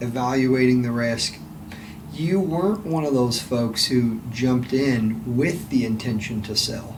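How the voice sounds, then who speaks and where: Over noticeable background noise, a man with a medium pitch talks at a fairly slow pace with lively intonation. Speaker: podcast host. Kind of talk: interview question.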